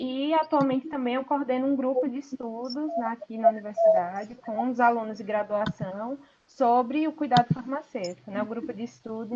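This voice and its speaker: This woman's voice sits high in pitch. She keeps a moderate pace, and her pitch moves in an ordinary way. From Sergipe, northeast Brazil. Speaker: pharmacy professor. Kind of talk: online lecture. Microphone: some viewers report bad audio.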